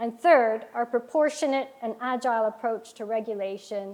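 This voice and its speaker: A woman with an American accent has a normal speaking voice at a fairly high pitch. She talks at a moderate pace with ordinary pitch variation. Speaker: financial regulator executive. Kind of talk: keynote speech. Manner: formal.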